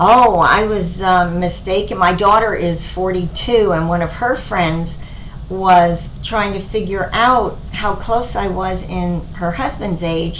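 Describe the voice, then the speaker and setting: Amid noticeable background noise and audible room echo, a woman of medium pitch speaks at a fairly slow pace with fairly even intonation. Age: 60s. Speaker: cosmetic surgery patient. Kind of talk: testimony. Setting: doctor's office. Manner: halting, many fillers.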